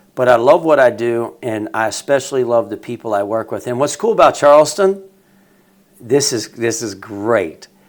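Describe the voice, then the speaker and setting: A man with an American accent talks at a moderate pace in a normal speaking voice. His pitch is medium and his intonation lively. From West Virginia, Wheeling. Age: 50s. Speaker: teacher and coach. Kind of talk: casual chat. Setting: studio.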